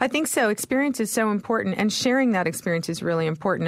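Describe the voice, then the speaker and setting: A woman speaks with a Canadian accent and lively intonation. The recording is very clean, with a silent background. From Canada. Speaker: magazine editor and travel writer. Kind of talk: interview. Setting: studio.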